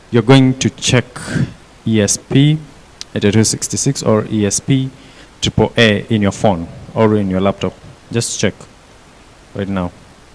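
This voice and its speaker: A man at a fairly low pitch with ordinary pitch variation, a moderate pace and long, frequent pauses, over noticeable background noise. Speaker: workshop instructor. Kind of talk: hands-on tutorial.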